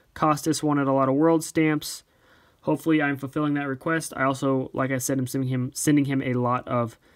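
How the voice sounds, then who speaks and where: A man speaks in a medium pitch with fairly even intonation. The recording is very clean, with a silent background. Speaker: stamp collector YouTuber. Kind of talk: casual video tutorial/show-and-tell. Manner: fast.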